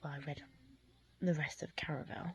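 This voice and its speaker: A woman is whispering. Her voice is somewhat breathy. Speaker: book vlogger. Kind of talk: casual vlog. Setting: home at night.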